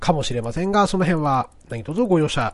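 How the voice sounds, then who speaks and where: A man's intonation is lively as he talks at a moderate pace in a normal speaking voice. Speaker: podcast host. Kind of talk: casual monologue. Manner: frequent filler words.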